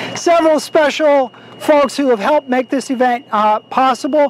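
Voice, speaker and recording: The speaker has an energetic tone and an American accent. Noticeable background noise runs underneath. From Texas. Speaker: political advocacy speaker. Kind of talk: speech at outdoor rally. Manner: energetic, rousing.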